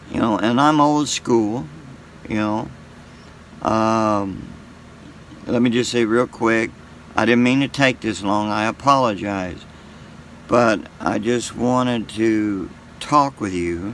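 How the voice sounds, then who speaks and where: A man with a medium pitch talks at a very slow pace. He leaves long, frequent pauses, and his pitch varies an ordinary amount. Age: 60s. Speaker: YouTuber sharing faith. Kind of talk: casual monologue. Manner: halting.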